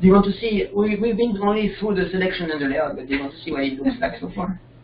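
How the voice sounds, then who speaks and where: Over noticeable background noise, a man with a non-native accent talks very fast at a high pitch, his intonation lively. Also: big swings in loudness. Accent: foreign. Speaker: software developer presenting his extension. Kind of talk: software tutorial demo. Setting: video call with screen sharing. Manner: halting. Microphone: connection keeps dropping.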